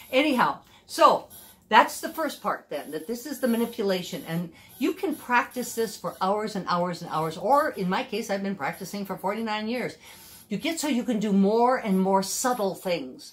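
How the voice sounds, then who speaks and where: A woman's voice with very wide pitch swings at a moderate pace. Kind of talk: tutorial. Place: home room. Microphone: camera far.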